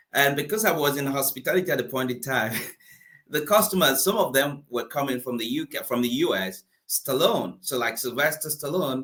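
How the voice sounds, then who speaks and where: A man with a Nigerian accent has a bright, sharp tone and a fairly high pitch. His intonation is lively. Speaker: motivational speaker and coach. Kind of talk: interview.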